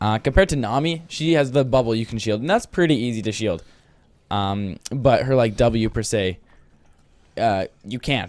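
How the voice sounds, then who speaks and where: A man talks with lively intonation at a moderate pace in an unremarkable speaking voice, on a very clean recording with a silent background. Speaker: esports caster. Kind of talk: live commentary.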